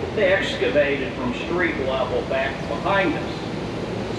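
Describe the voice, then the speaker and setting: Loud background noise sits behind a man talking at a very slow pace. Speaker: boat tour guide. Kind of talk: tour narration. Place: boat.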